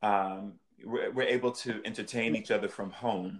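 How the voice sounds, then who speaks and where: This man has an unremarkable speaking voice with an American accent and medium pitch. He talks at a fairly slow pace. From Northern Virginia. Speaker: singer and stage performer. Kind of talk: interview.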